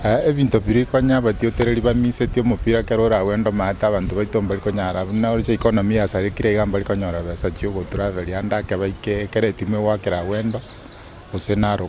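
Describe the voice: At a fast pace, a man talks with a dark, mellow tone, a fairly low pitch and little pitch movement.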